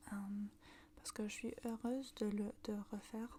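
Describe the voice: Woman at medium pitch, dark, mellow tone with vocal fry, little pitch movement, moderate pace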